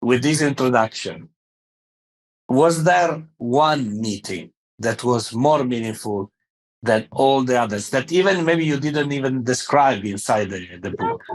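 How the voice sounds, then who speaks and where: A man at a medium pitch, fairly slow and with lively intonation, over a quiet background. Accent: French. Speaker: podcast host. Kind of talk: interview. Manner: halting, many fillers.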